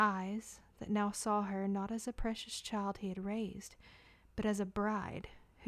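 Someone reading aloud in a natural voice.

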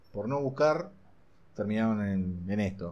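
Audible room echo surrounds a voice that moves at a moderate pace with ordinary pitch variation. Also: man. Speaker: vape shop owner. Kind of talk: casual chat. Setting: in a vape shop.

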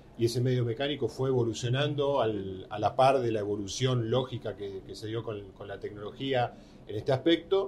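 A man with a medium-pitched, somewhat breathy voice speaks at a fairly quick pace, with ordinary pitch variation and big swings in loudness. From Argentina. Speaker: motorsport journalist. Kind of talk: interview.

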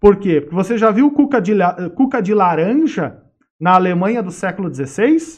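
A high-pitched man at a moderate pace, with very wide pitch swings. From Sapiranga, Rio Grande do Sul, Brazil. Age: 40s. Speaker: history professor. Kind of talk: interview, lecture-like explanation. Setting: studio.

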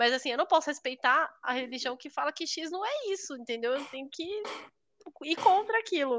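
A woman speaks at a moderate pace in a high pitch, with lively intonation and big swings in loudness, over a quiet background. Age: 30s. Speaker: podcast co-host. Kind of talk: casual chat.

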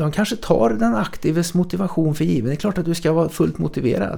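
Speaking at a fairly quick pace, a man uses a normal speaking voice that is fairly high in pitch, with lively intonation. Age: 60s. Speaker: podcast host. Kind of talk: casual chat. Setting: studio.

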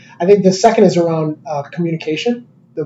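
Somewhat breathy man with an American accent at a fairly quick pace. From Chicago. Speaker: company executive. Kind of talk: casual interview.

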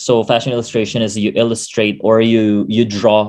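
Here is a man's voice at medium pitch. The pitch varies in an ordinary way. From Philippines, Quezon City. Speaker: podcast host and pageant titleholder. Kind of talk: casual chat.

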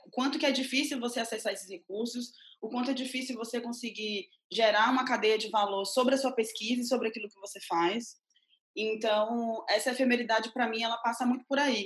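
Speaking at a fairly quick pace, a woman with an ordinary speaking voice keeps a fairly high pitch and fairly even intonation. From Bahia, Brazil (Mundo Novo). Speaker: independent curator and art critic. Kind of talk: interview.

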